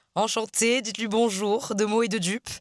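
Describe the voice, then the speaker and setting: At a moderate pace, the speech comes across dry and close with no echo, on a very clean recording with a silent background. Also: woman. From France, Marseille. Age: 20s. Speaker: author and vlogger. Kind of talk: casual vlog chat. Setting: in a car. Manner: casual, hesitant with many fillers.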